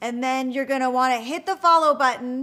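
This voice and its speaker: On a very clean recording with a silent background, a woman speaks in a raised, projected voice, high-pitched with a bright, sharp tone and lively intonation. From Trinidad and Tobago. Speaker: livestream host. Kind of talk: casual livestream chat.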